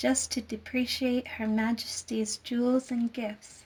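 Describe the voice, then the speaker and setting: A soft-spoken woman with a fairly high pitch talks in a gentle tone and monotone, flat intonation, with music in the background. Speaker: storyteller. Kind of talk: sleep story. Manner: soft-spoken, gentle.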